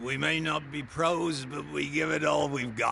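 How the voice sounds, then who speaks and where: Using a put-on character voice, a man sounds raspy with fairly high pitch and fairly even intonation, talking at a moderate pace against clear background noise. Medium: video game.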